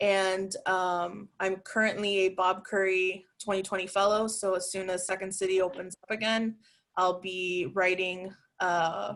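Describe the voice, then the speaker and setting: At a fairly slow pace, a woman speaks in a flat monotone at a medium pitch. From Miami, Cuban-American. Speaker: improviser. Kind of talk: panel introduction.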